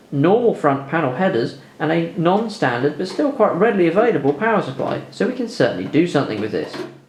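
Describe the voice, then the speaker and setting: With noticeable background noise and audible room echo, a man talks very fast with hardly any pauses, his fairly high voice swinging very widely in pitch. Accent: British. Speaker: tech YouTuber. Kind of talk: video voiceover tutorial. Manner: dry, sarcastic.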